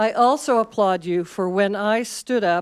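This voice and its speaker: In a very clean recording with a silent background, a woman speaks fairly slowly at a medium pitch with fairly even intonation. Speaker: public commenter. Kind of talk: public comment at board meeting. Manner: loud.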